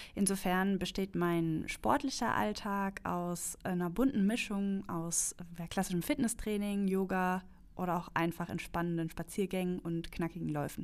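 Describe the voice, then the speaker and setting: Recorded very cleanly over a silent background, a woman uses an ordinary speaking voice at medium pitch with ordinary pitch variation. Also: fairly slow pace. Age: 30s. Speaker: customer experience manager. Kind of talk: casual chat.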